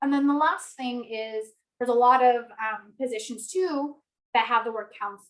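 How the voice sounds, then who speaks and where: Her voice is high. The woman's pitch rises and falls in an ordinary way. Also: moderate pace. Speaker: university staff presenter. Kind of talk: orientation presentation.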